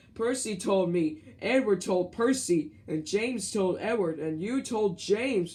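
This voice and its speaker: A man puts on a character voice, pitched high, and keeps to a moderate pace. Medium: read story.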